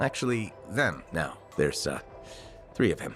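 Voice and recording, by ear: A put-on character voice speaks at a fairly slow pace in a fairly bright tone, with big pitch swings. Faint music plays in the background. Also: man, low pitch for a man.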